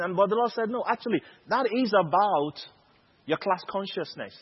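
A man at a fairly quick pace. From Nigeria. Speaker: preacher. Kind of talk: sermon. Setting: conference stage with audience.

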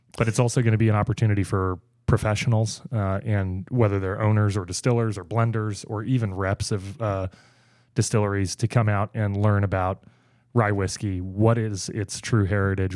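An ordinary speaking voice from a man, fairly low in pitch, fairly quick and fairly even in intonation, on a very clean recording with a silent background. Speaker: communications director at a craft beverage consulting firm. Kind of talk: casual interview chat.

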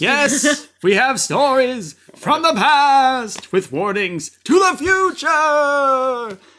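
A man's put-on character voice, extremely high and very slow, on a very clean recording with a silent background. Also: hardly any pauses. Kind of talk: theatrical, formal. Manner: dramatic, proclaiming.

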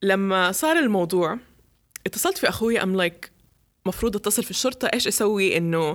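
A woman talks at a fairly quick pace and fairly high pitch in an animated tone. The recording is very clean, with a silent background. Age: 20s. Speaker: podcast host. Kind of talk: casual chat. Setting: hot room without air conditioning.

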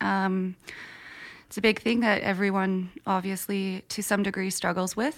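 A woman with an unremarkable speaking voice at a medium pitch. She talks at a fairly slow pace. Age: 20s. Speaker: podcast host. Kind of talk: casual interview.

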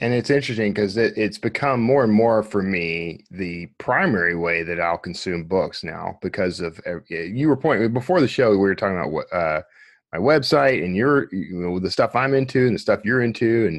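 A man with a fairly low pitch and lively intonation, at a moderate pace, against a quiet background. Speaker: podcast host and author. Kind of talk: casual interview chat.

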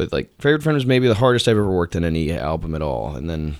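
With lively intonation, a man talks in a very deep, low voice. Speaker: musician. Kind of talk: casual interview. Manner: halting, many fillers.

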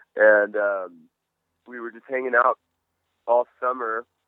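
At a moderate pace and a medium pitch, a man talks in an ordinary speaking voice. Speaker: rock musician. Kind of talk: casual interview. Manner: casual, laid back.

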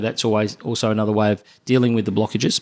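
A man with an Australian accent talks at a very fast pace in a medium pitch. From Melbourne, Australia. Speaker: cardiologist. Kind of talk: interview. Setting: doctor's office. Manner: halting, repeats words.

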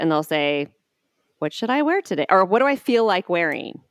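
In a very clean recording with a silent background and a dry, close sound with no echo, a woman with a normal speaking voice talks at medium pitch with lively intonation. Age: 40s. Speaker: fashion stylist. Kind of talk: casual interview.

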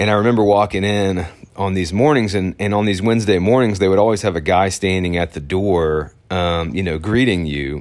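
Hardly pausing, a man with a Southern US accent talks at a fairly quick pace with a very deep, low pitch and ordinary pitch variation. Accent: Southern American. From Arkansas, US South. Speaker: podcaster. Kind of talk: personal storytelling monologue. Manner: casual, with many fillers.

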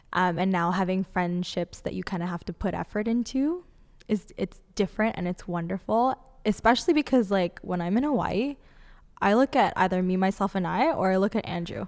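A woman speaks in a normal speaking voice at a medium pitch and a fairly quick pace, with ordinary pitch variation, on a very clean recording with a silent background. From Canada, Toronto. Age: 20s. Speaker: healer and teacher. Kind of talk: casual chat.

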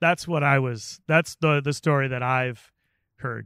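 An unremarkable speaking voice at a moderate pace with fairly even intonation, in a dry, close sound with no echo and a very clean recording with a silent background. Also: man. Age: 40s. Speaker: chef and podcast host. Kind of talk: casual interview chat. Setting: outdoors.

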